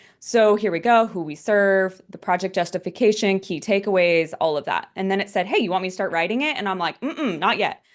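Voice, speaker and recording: A woman talks at a fairly quick pace with hardly any pauses and ordinary pitch variation. The background is quiet. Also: medium pitch for a woman. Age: 30s. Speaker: grant writing trainer. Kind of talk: webinar presentation. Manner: fast; animated.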